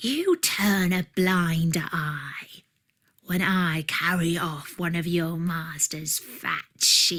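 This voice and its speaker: A woman's put-on character voice, fairly low in pitch and at a very slow pace. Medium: read story.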